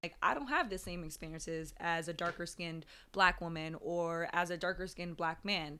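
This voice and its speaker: A woman speaks at a fairly quick pace in a bright, sharp tone with fairly even intonation, on a very clean recording with a silent background. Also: fairly low pitch for a woman. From Jamaica. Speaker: podcast guest. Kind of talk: casual chat.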